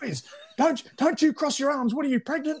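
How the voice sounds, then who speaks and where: Shouting in a put-on character voice, a man hits an extremely high pitch at a moderate pace. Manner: yelling, barking orders.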